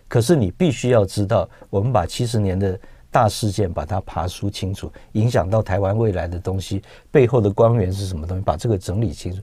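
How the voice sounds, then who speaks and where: A man talks at a fairly quick pace, his pitch fairly low and his tone dark and mellow. His voice is somewhat breathy with ordinary pitch variation, and the sound is dry with no echo. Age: 50s. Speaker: film producer; guest. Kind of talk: radio interview. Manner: halting. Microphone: lapel.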